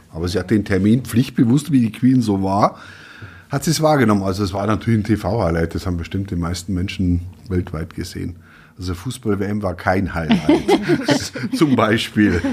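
A man speaks at a moderate pace in a fairly low pitch, somewhat breathy, with lively intonation. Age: 50s. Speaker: newspaper editor. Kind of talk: casual chat.

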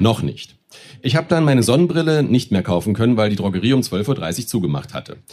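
His pitch swings very widely, with vocal fry running through it. The man talks at a fairly quick pace. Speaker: stage reader. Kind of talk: reading aloud. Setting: stage with audience.

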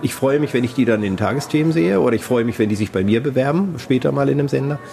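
Very fast speech with ordinary pitch variation comes through noticeable background noise. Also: man. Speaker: radio editor-in-chief. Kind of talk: interview. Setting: hotel lounge.

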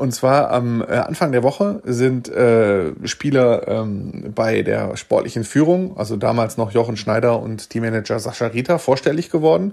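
Fairly slow yet with hardly any pauses, a man at medium pitch speaks with lively intonation in an ordinary speaking voice. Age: 40s. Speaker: sports reporter. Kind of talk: casual chat.

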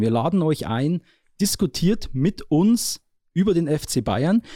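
A man's dark, mellow voice in a very clean recording with a silent background and a dry, close sound with no echo. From Upper Palatinate, Bavaria (Neusorg). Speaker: sports journalist, podcast host. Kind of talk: casual chat.

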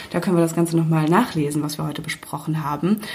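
A woman talks, and noticeable background noise can be heard. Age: 20s. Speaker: podcast host and magazine editor. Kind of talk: casual chat. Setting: makeshift home podcast booth.

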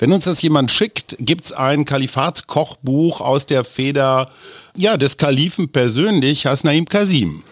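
A man has an unremarkable speaking voice, fairly high in pitch with ordinary pitch variation and very even loudness. He talks at a fairly slow pace in a dry, close sound with no echo. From Germany, Oldenburg area. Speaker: podcast host and journalist. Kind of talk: casual interview.

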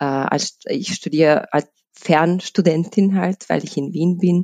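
A woman with a Bosnian accent speaks at a fairly low pitch with ordinary variation in a dark, mellow tone, the sound dry and close with no echo. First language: Bosnian (speaking German). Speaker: HR lead at a tax advisory firm. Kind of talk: interview. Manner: halting, many fillers.

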